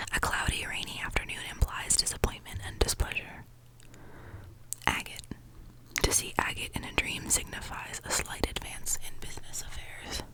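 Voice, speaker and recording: Whispering at a moderate pace with long, frequent pauses, the voice has a calm, soothing tone over noticeable background noise. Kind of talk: ASMR reading of a dream dictionary. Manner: whispered; soft, calm, soothing.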